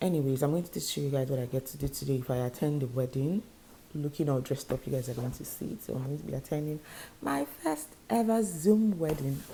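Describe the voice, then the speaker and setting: Very fast and lively, a woman talks with a dark, mellow tone, a very deep, low pitch and a somewhat breathy quality. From Nigeria. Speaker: YouTuber, vlogger. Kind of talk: casual vlog to camera.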